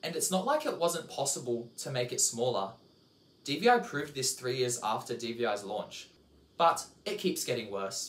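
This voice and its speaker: Somewhat breathy, a man with a medium-pitched voice talks at a moderate pace with lively intonation. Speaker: tech YouTuber. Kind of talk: scripted tech commentary to camera. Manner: stiff at times.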